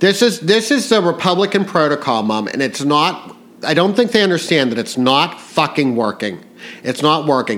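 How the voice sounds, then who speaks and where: A man with a fairly high pitch speaks at a moderate pace in an animated tone, his pitch swinging very widely. Noticeable background noise runs beneath him. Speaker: podcast host. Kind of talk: casual political chat. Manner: animated, profane ranting.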